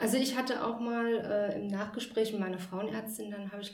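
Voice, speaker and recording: A woman at medium pitch talks at a moderate pace with monotone, flat intonation. Noticeable background noise and audible room echo surround her voice. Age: 30s. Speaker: grief and burnout coach. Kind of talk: casual chat. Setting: host's practice.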